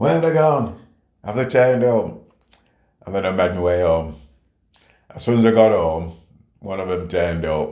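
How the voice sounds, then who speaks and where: With a very deep, low voice and a dark, mellow tone, a man speaks at a moderate pace with lively intonation and long, frequent pauses. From St Kitts, moved to UK at 7. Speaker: retired police officer, community leader. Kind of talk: life story interview answer.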